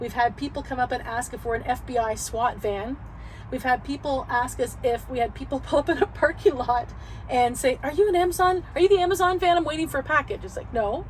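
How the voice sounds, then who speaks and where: A woman speaks in a high pitch with a Canadian accent. Her intonation is lively and her pace fairly quick. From Canada. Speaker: van lifer, YouTuber. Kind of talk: casual interview chat.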